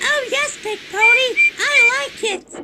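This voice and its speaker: A squeaky put-on character voice speaks at an extremely high pitch and a fairly slow pace. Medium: machinima. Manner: eager, polite.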